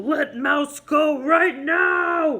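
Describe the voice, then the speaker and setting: A high-pitched, put-on character voice delivered with a growl. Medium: read story.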